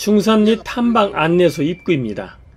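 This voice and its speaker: The man's voice swings very widely in pitch. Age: 70s. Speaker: hiker. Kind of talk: travel vlog narration.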